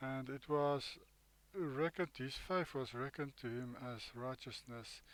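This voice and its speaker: Speaking with an Afrikaans South African accent, a man uses a medium pitch, ordinary pitch variation and a fairly slow pace. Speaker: bible teacher. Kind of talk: bible study commentary. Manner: halting.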